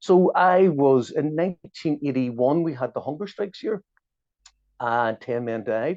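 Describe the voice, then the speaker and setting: With a Belfast accent, a man speaks at a fairly high pitch. His intonation is lively and his pace fairly slow. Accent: Belfast Northern Irish. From Northern Ireland, Belfast. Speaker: journalist and activist. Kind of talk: interview.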